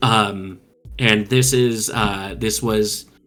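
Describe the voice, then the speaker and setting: A man's fairly low voice with ordinary pitch variation over background music. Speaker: podcast co-host, tabletop gamer. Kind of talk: casual chat.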